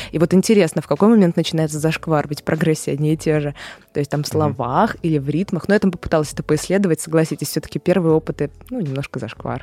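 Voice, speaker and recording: Dry and close with no echo, a woman's very deep, low voice carries a dark, mellow tone at a very fast pace. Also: ordinary pitch variation. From Saint Petersburg, Russia. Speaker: musicologist and music lecturer. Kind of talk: casual interview. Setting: studio.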